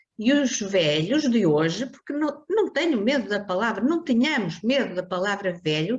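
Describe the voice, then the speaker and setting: Somewhat breathy and fairly high-pitched, a woman speaks at a moderate pace with hardly any pauses and very wide pitch swings. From northern Portugal, Porto. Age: 70s. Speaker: foundation president. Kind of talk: interview. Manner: animated.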